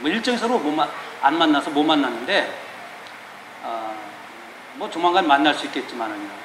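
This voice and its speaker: Over noticeable background noise and audible room echo, a man talks at a moderate pace with very wide pitch swings. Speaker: pastor. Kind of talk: sermon. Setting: church. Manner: casual, conversational.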